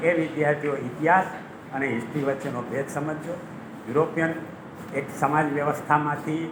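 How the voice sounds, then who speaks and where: A man's fairly high voice, with noticeable background noise and audible room echo. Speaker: retired history professor. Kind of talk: lecture. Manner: animated.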